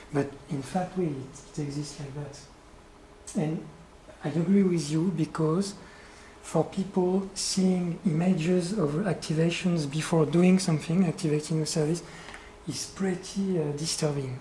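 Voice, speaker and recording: The speaker has a French accent and moves at a fairly slow pace with long, frequent pauses. Background noise is noticeable. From France. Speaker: conceptual artist. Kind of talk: q&a discussion. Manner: halting.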